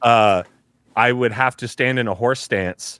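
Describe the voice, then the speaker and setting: With an American accent, a man speaks at a moderate pace and medium pitch in a bright, sharp tone, using fairly even intonation, with a dry, close sound and no echo. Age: 40s. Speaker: voice actor and comedian. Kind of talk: casual chat.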